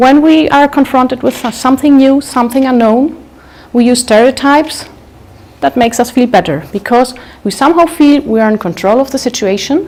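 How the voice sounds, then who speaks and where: High-pitched female speech, fairly quick, its pitch rising and falling in an ordinary way. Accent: German. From Germany, Munich. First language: German. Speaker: public speaker. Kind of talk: talk to live audience.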